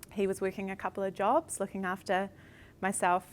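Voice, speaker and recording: This is a woman speaking with a New Zealand accent. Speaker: company director, former scholarship recipient. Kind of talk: panel interview. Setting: live stream. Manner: halting, many fillers.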